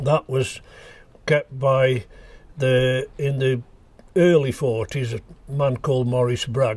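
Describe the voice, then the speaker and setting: A man with a medium pitch sounds somewhat breathy. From Staffordshire, England. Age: 80s+. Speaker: local historian recalling memories. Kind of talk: reminiscence narration. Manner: halting with frequent fillers.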